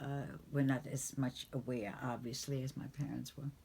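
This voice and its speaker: A woman's very deep, low-pitched voice, dark and mellow in tone and somewhat breathy, with monotone, flat intonation at a fairly slow pace. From Germany. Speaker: Holocaust survivor. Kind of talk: interview testimony.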